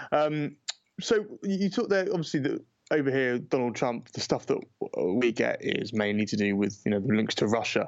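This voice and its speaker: A man with a British accent speaks at a moderate pace, his loudness very even while his pitch swings very widely. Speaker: politics podcast host. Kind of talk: casual chat. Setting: remote call to New York.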